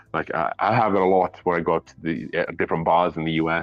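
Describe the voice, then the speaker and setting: In a Welsh accent, a man speaks with a very deep, low pitch and fairly even intonation. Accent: Welsh, British. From Wales. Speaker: whiskey reviewer. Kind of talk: casual chat. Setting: live stream. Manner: mumbly.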